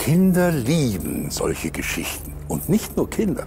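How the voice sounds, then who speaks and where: Music plays in the background. Over it, a man speaks at a very slow pace. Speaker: presenter. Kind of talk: documentary presentation to camera. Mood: playful, storytelling tone. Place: hall.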